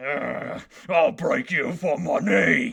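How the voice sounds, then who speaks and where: A man growls in a raspy, put-on character voice. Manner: snarling, threatening.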